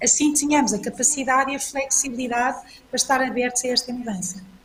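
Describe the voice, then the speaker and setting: A woman talks at a fairly quick pace in a high pitch. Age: 60s. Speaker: panel speaker, business executive. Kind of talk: panel talk. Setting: online event. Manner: hesitant, repeats words.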